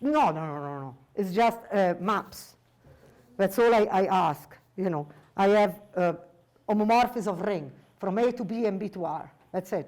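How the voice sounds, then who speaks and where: A woman speaks at medium pitch with lively intonation. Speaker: mathematics professor. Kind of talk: lecture. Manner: fast.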